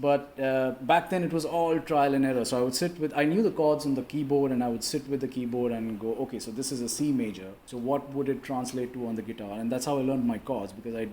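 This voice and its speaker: With a dark, mellow tone and medium pitch, a man talks at a very fast pace. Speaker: musician. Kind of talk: interview.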